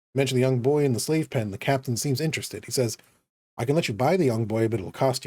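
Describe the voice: A quiet background, with plain reading aloud and ordinary pitch variation.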